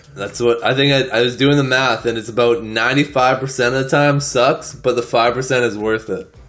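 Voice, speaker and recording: Music runs in the background behind a man at a medium pitch. He speaks at a fairly quick pace with fairly even intonation. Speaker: podcast co-host. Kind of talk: casual chat.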